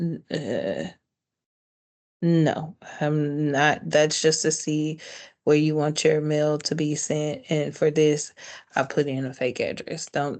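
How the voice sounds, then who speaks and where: Speaking at a very slow pace, a woman with a very deep, low pitch uses monotone, flat intonation and long, frequent pauses. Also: quiet background. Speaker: small business trainer. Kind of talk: tutorial.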